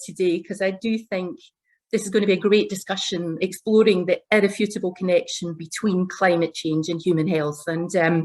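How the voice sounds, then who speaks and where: With a Glaswegian accent, a woman of medium pitch speaks at a moderate pace with ordinary pitch variation against a quiet background. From Scotland, Glasgow. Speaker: corporate executive. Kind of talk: panel discussion opening remarks.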